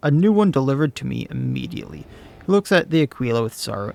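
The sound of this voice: Text is read out. The voice doing it is unforced.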